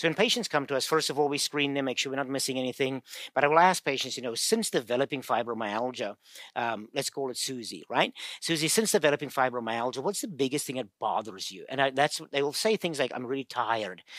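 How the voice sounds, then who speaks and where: Recorded very cleanly against a silent background, with a dry, close sound and no echo, a man talks at a very fast pace in a medium pitch with lively intonation. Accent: South African. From South Africa. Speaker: physical therapist and pain researcher. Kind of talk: interview, casual explanation.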